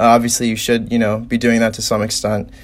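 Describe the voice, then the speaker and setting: There is noticeable background noise behind a man with an American accent. His pitch is medium and his intonation is monotone and flat. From Indiana, South Bend. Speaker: college student. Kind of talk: casual chat.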